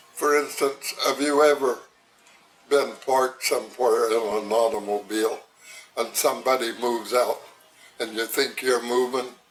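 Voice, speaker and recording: A medium-pitched man's voice, fairly slow and monotone with flat intonation, over noticeable background noise. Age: 90s. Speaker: retired railroad worker. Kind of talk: oral history interview.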